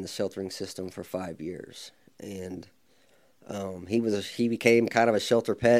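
A fairly low-pitched man with an American accent, at a moderate pace and with fairly even intonation. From Oklahoma (Midwest City). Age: 40s. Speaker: animal welfare superintendent. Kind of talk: interview conversation. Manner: hesitant, many fillers and repeats.

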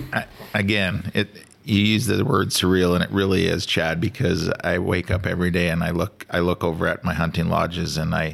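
At a fairly quick pace, a man with a very deep, low pitch speaks with fairly even intonation and very even loudness. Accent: Canadian prairie. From Saskatchewan, Canada. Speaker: hunting lodge owner and outfitter. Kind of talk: casual chat. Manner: halting, repeats words.

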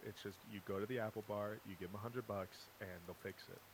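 A man talks at a fairly quick pace in an ordinary speaking voice. His pitch is fairly low and his intonation fairly even. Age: 20s. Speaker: podcast co-host and web designer. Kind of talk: casual chat.

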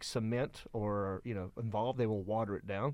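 A man with a Southern US accent at a moderate pace, quiet background. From Hickory, North Carolina (US South). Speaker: comedian, podcaster. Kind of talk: casual chat about movies.

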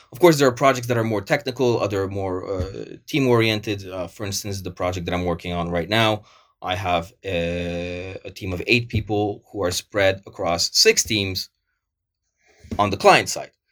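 The recording is very clean, with a silent background. A man speaks in a plain, everyday voice at a fairly low pitch and moderate pace, with ordinary pitch variation. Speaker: project manager. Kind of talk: casual interview chat.

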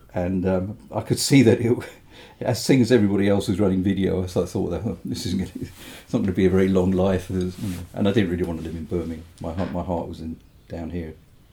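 Somewhat breathy and dark, mellow in tone, the voice moves at a fairly quick pace with fairly even intonation in an English accent. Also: man, very deep, low pitch for a man. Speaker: mastering engineer and record producer. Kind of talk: casual interview. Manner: halting.

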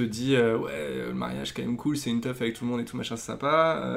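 Over noticeable background noise, a man talks at a very fast pace in a medium pitch with ordinary pitch variation. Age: 30s. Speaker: advertising creative. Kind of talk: casual interview.

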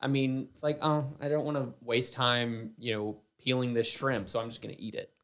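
Playful in tone, a man with a slight Southern US accent speaks at a moderate pace and medium pitch with fairly even intonation. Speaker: podcast co-host and sound operator. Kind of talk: casual chat. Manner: joking, playful.

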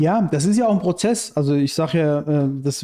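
A man speaks at a fairly high pitch in a dark, mellow tone. The background is quiet. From Iran, raised in Germany from childhood. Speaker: anarchist activist and writer. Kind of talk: casual interview chat.

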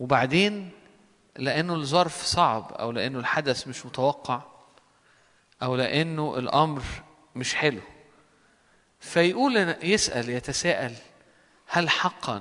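A man with fairly high pitch speaks at a very slow pace with lively intonation and long, frequent pauses. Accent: Egyptian. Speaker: preacher. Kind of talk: sermon.

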